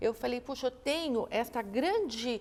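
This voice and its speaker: The speaker is a woman. Her pitch is high. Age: 60s. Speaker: investment event founder. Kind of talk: interview conversation.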